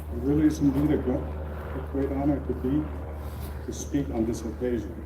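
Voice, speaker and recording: Over audible room echo, a man talks at a moderate pace with very wide pitch swings. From Libya, then South Carolina. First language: not English. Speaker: retired general and physician. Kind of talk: ceremony keynote speech. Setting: outdoor ceremony with audience.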